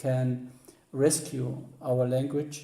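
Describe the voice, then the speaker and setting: In a Middle Eastern accent, a man speaks at a medium pitch with monotone, flat intonation and a very slow pace, amid audible room echo. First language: Assyrian Neo-Aramaic. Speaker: author and music historian. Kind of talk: interview. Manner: halting, many hesitations.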